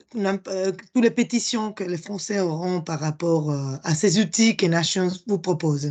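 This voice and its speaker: A woman's fairly low voice with a Spanish accent, fairly slow and with hardly any pauses, ordinary pitch variation, and a quiet background. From Spain. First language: Spanish (speaking French). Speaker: project presenter. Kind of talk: conference presentation. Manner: halting, many hesitations.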